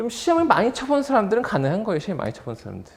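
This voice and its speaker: A man with a high pitch talks at a very fast pace amid audible room echo. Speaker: exam prep instructor. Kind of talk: lecture. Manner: fast-talking by habit.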